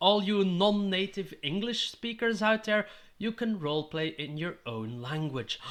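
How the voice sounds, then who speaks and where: Fairly slow speech with a Dutch accent, lively intonation and a bright, sharp tone. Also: man. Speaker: tabletop gaming YouTuber. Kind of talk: tutorial.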